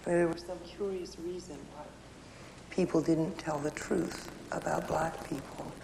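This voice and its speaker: A woman with an American accent talks at a very slow pace in a fairly low, monotone, flat voice over noticeable background noise. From Houston, Texas. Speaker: political commentator and author. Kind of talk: interview answer.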